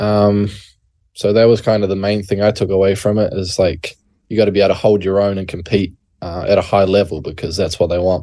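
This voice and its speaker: Over a quiet background, a man with a New Zealand accent talks at a fairly quick pace in a fairly low, dark, mellow voice with monotone, flat intonation. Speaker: college basketball player. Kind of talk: interview. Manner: halting, many fillers.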